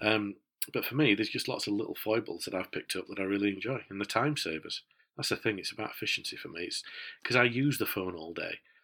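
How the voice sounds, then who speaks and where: A man with a Yorkshire accent at medium pitch and a very fast pace, with ordinary pitch variation, on a very clean recording with a silent background. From Yorkshire, northern England. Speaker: tech podcast co-host. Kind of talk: casual chat. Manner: hesitant, many fillers.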